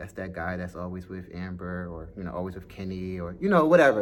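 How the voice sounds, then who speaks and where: In a room with audible echo, a man talks with an American accent. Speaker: dance school owner and vlogger. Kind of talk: casual vlog monologue. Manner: casual, chatty with fillers.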